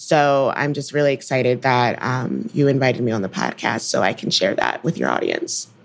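With an American accent, a woman talks at a moderate pace with hardly any pauses. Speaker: software engineer and podcast host. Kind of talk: casual discussion.

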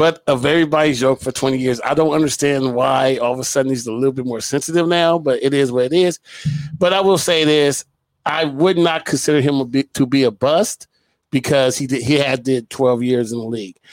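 The man speaks in a plain, everyday voice and keeps a moderate pace. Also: fairly high pitch for a man, ordinary pitch variation. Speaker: podcast co-host. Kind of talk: casual banter about sports.

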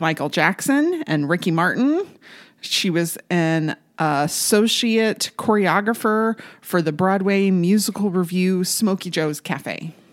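In a normal speaking voice, a woman of medium pitch talks at a fairly slow pace with ordinary pitch variation on a very clean recording with a silent background. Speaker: podcast co-host. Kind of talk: casual chat.

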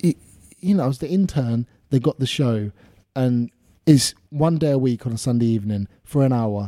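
A man at a moderate pace, dark and mellow in tone, in a dry, close sound with no echo. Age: 20s. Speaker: radio presenter. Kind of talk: casual chat. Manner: animated.

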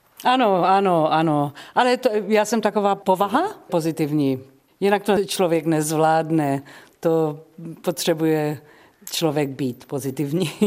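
Her loudness very even, a woman with a fairly low pitch and lively intonation speaks at a fairly slow pace on a very clean recording with a silent background. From South Africa (Czech-born). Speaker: jazz singer. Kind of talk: radio interview. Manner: halting.

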